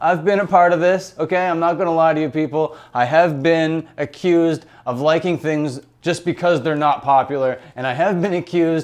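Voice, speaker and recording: Against a quiet background, a man speaks at a moderate pace. His is an unremarkable speaking voice, pitched fairly high. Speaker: YouTube commentator. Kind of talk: casual talk to camera.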